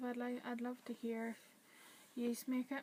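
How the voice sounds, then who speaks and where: High in pitch, a woman speaks with a Northern Irish accent. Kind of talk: casual talk to camera.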